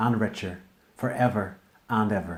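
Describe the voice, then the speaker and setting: With an Irish accent, a man speaks at a moderate pace and a fairly low pitch. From Northern Ireland. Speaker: poet. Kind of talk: poetry performance.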